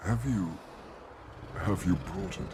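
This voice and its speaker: A man uses a put-on character voice pitched very deep and low. Background noise is clearly audible. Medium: video game.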